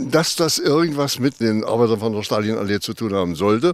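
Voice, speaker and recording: Over noticeable background noise, a man talks with lively intonation at a fairly low pitch. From eastern Germany, Wittenberg/Jessen area. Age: 80s+. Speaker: eyewitness. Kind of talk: interview. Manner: hesitant with many fillers.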